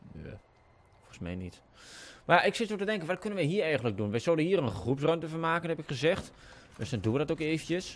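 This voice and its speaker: A man with a strong eastern Dutch accent speaks at a fairly high pitch for a man. His pitch swings very widely over light background noise. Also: big swings in loudness. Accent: strong rural eastern Dutch. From eastern Netherlands. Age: young. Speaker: gaming YouTuber. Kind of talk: casual gameplay commentary. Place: home room.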